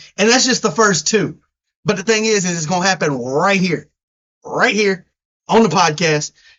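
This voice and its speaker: With long, frequent pauses, a man speaks in an animated tone and ordinary pitch variation. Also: moderate pace. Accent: strong Southern US. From US South. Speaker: sports podcast co-host. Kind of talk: casual chat.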